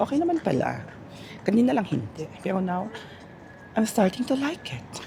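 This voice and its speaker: A high-pitched man at a moderate pace with very wide pitch swings, against noticeable background noise. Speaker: vlogger. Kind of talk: walking vlog voice-over. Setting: outdoors at night, walking. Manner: casual, chatty.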